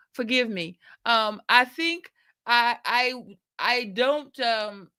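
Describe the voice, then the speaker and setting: Her tone is bright and sharp. The woman speaks with an American accent. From US Midwest, Milwaukee. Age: 60s. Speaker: nursing professor. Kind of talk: interview. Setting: group call.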